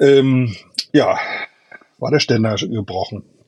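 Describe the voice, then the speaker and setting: At a very slow pace, a man talks at a medium pitch with ordinary pitch variation. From Germany, Ruhr area (Duisburg). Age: 50s. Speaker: e-bike tourer and video creator. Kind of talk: casual interview.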